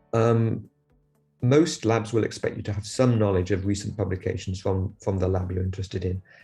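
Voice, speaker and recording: Over music in the background, a man with a fairly low pitch speaks at a fairly quick pace with ordinary pitch variation. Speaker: lab head, scientist. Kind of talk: advice talk to camera. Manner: halting, many repetitions and fillers.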